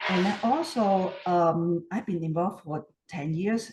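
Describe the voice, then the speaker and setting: Somewhat breathy, a woman with a Hong Kong accent speaks at a fairly low pitch in a dark, mellow tone. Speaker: community repair volunteer. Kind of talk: interview. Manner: hesitant, many fillers.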